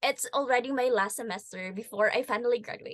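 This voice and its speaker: The speech comes at a moderate pace with a dry, close sound and no echo. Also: woman. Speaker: podcast co-host, engineering student. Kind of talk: casual podcast chat.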